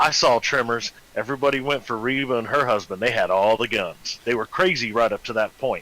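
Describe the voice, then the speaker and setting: A man with a medium-pitched, bright, sharp voice and ordinary pitch variation speaks. His pace is fairly quick, with hardly any pauses. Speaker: fellow gamer. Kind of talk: casual gameplay chat.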